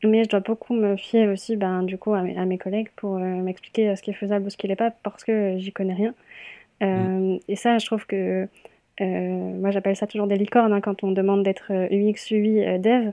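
A woman at a medium pitch and moderate pace, in a monotone, flat intonation. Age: 20s. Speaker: UX/UI design apprentice and student. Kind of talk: interview. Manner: hesitant, many fillers.

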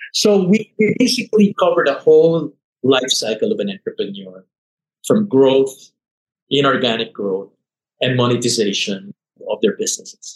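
A man with vocal fry and a fairly high pitch talks at a moderate pace, making very wide pitch swings and taking long, frequent pauses, in a dry, close recording with no echo. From Philippines, Manila. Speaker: investment banker and CEO. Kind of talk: interview.

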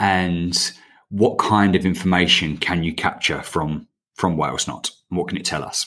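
With a bright, sharp tone, a man speaks at a fairly slow pace in a very deep, low pitch. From England. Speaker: podcast host. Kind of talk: casual interview.

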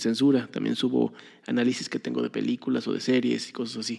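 A man speaks with a Mexican accent. His pace is fairly quick. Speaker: podcast host. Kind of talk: casual monologue.

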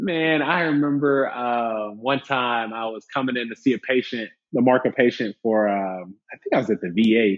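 The speaker has a plain, everyday voice with ordinary pitch variation and an American accent. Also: man. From Alabama, US South. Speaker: plastic surgeon. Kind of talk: casual interview chat.

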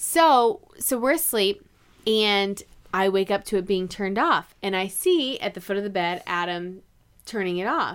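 Heard on a very clean recording with a silent background, a woman with an American accent speaks in an ordinary speaking voice at a medium pitch and fairly slow pace, her intonation lively. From North Carolina. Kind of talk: casual chat.

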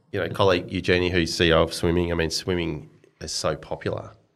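With an Australian accent, a man with a very deep, low pitch talks at a fairly quick pace in a monotone, flat intonation, leaving long, frequent pauses on a very clean recording with a silent background. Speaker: sports executive. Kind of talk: interview.

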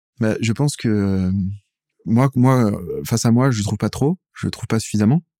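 In a very clean recording with a silent background, a man's fairly low-pitched voice has a dark, mellow tone and a dry, close sound with no echo. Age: 40s. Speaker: singer-songwriter. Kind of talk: interview. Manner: halting.

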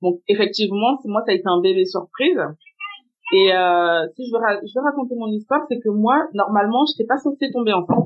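The woman's pitch is fairly high and her intonation lively. She keeps a moderate pace. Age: 30s. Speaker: assistant and lingerie brand founder, single mother. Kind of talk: testimony. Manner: halting.

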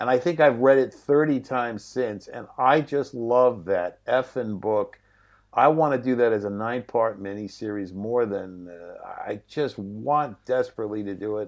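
A plain, everyday voice moves at a fairly slow pace with ordinary pitch variation. Its loudness swings widely over a quiet background. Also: man, medium pitch for a man. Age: 60s. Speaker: film writer, director and painter. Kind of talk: casual interview chat. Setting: video call.

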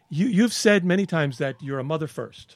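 The recording is very clean and the background silent. A man talks at a moderate tempo. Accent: American. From Brooklyn, New York. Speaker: podcast host. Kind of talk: interview conversation.

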